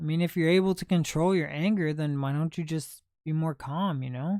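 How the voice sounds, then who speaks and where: In an American accent, the speaker talks at a moderate pace on a very clean recording with a silent background. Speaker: livestreamer, thrift video creator. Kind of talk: casual livestream chat.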